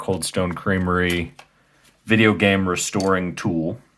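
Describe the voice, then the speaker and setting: This man's voice sits fairly low. He talks at a very slow pace. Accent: Midwestern US. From US Midwest. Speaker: video game restoration youtuber. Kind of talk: tutorial. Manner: casual, hesitant with fillers.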